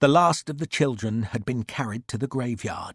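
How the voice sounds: This is a natural reading voice. Its pitch variation is ordinary.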